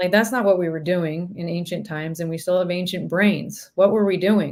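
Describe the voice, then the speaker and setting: A woman talks in a Northern California accent at a medium pitch. Her intonation stays fairly even. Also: fairly quick pace. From Northern California, Sacramento. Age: 30s. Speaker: professional musician. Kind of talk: casual chat.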